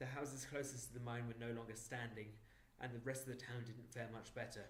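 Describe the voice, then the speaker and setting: Flat, monotone intonation and vocal fry come at a fairly quick pace, with audible room echo. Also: man. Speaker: audiobook narrator. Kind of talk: reading aloud. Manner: clear.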